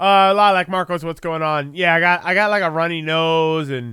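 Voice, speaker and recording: On a very clean recording with a silent background, a man talks at a moderate pace in a high pitch with a bright, sharp tone. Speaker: live streamer. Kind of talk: casual chat. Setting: live stream. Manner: halting, many fillers and repeats.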